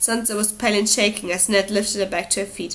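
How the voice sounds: A woman speaking at a fairly quick pace with fairly even intonation. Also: medium pitch for a woman, fairly bright tone.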